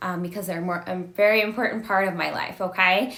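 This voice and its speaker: Noticeable background noise and audible room echo surround a woman whose intonation is fairly even. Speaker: domestic violence advocate. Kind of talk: educational livestream talk. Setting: live video stream.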